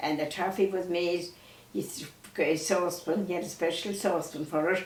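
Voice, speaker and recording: A woman with a western Irish accent, fairly low in pitch, at a moderate pace with fairly even intonation, plus audible room echo and noticeable background noise. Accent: rural west of Ireland. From Ireland, County Mayo. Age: 90s. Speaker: elderly storyteller. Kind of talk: reminiscing conversation. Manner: halting.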